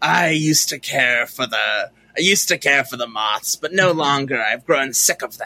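Putting on a character voice, a man talks fairly slowly at a fairly high pitch. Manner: cool, weary.

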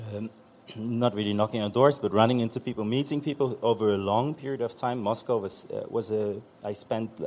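A man's medium-pitched voice with a German accent, fairly even intonation and a fairly quick pace. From eastern Germany. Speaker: author, composer and magazine editor. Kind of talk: panel discussion. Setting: stage with audience.

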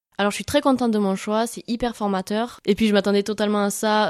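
A woman speaks at a very fast pace. Her intonation is fairly even. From southwestern France, Hautes-Pyrénées near Tarbes. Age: 20s. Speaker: university student. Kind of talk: interview.

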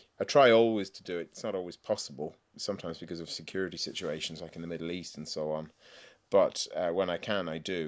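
A man with an Irish accent speaks at a very fast pace and a very deep, low pitch, with ordinary pitch variation and big swings in loudness, on a very clean recording with a silent background. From Ireland. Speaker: novelist. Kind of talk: interview.

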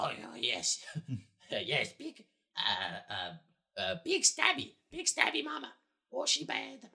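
This is a put-on character voice. It stops often for long pauses. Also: fairly slow pace. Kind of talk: tabletop roleplay. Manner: broken, simple speech.

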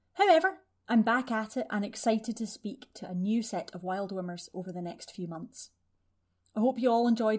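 In a very clean recording with a silent background, a normal speaking voice shows ordinary pitch variation. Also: woman. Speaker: podcast host. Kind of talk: podcast intro and interview. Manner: chatty, warm, humorous.

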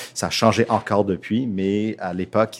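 Here a man speaks with an English-Canadian accent. His pitch sits fairly low. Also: very clean recording, silent background. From Toronto, Canada. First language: English (speaking French). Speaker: theatre school director. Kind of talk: interview. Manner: halting.

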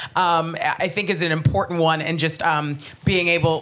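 A woman with a fairly low voice and an American accent, plus audible room echo. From United States. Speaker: comedian. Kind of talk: panel discussion before live audience. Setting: stage with audience.

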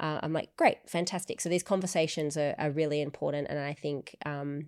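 In a very clean recording with a silent background, a woman with an Australian accent speaks in a very deep, low pitch with monotone, flat intonation. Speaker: podcast host. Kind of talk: casual chat.

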